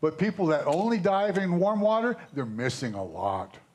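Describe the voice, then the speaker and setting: The man's voice sits at a high pitch. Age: 70s. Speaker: scuba diver. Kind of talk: casual chat.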